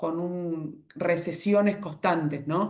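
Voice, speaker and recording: The woman's voice is fairly low in pitch, moving at a fairly slow pace. Audible room echo surrounds it. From Argentina. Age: 40s. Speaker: economist. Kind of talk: online presentation with slides. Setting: video call. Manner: halting, self-correcting.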